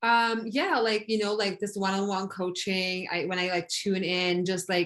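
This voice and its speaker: In a very clean recording with a silent background, a woman speaks with a non-native accent at a fairly low pitch. Her pace is moderate and her intonation fairly even. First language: not English. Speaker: coaching client. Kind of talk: coaching session. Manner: halting.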